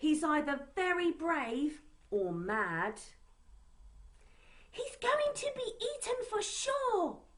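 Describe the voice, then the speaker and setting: A woman in a put-on character voice, extremely high in pitch with very wide pitch swings, at a very slow pace with long, frequent pauses. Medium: read story. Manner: wary.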